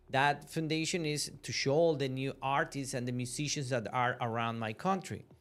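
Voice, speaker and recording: A man with a Spanish accent and a fairly high pitch speaks at a moderate pace with ordinary pitch variation and hardly any pauses, in a very clean recording with a silent background. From Venezuela. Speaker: musician and media host. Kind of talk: podcast interview. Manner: halting, many fillers.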